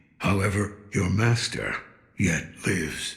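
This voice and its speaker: A raspy, put-on character voice is heard. It goes at a fairly slow pace. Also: man, fairly low pitch for a man. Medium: video game. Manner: gruff, cryptic.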